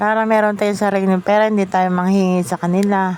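In an ordinary speaking voice, a woman at medium pitch talks at a fairly quick pace with fairly even intonation. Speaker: vlogger. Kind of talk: casual vlog monologue.

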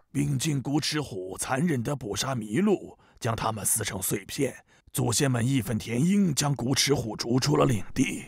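A man's raspy, put-on character voice at medium pitch, with lively intonation and a moderate pace. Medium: cartoon. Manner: storytelling.

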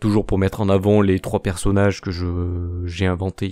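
Over music in the background, a man speaks at a moderate pace with a fairly low pitch. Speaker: YouTuber and amateur artist. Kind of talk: channel announcement monologue. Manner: halting, stammering; unscripted, many fillers.

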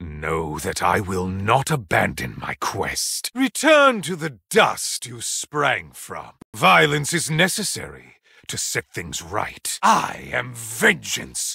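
A man's put-on character voice at medium pitch and slow pace, with big pitch swings, a bright, sharp tone, vocal fry and a husky, rough edge

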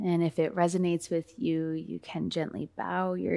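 A soft-spoken woman with a calm, soothing tone against a quiet background. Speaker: meditation guide. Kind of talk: guided meditation. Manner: calm, slow, soothing; soft-spoken, gentle pacing. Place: home room.

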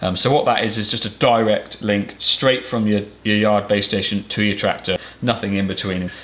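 A man speaks at a moderate pace with a fairly low pitch. His intonation is monotone and flat. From Cornwall, England. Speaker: farmer and YouTuber. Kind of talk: tutorial. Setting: farm workshop. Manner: casual, hesitant with fillers. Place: workshop.

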